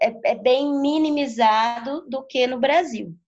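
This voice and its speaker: A woman speaks at a high pitch and a very slow pace. Music plays in the background. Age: 30s. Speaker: capoeira teacher. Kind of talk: interview. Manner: halting.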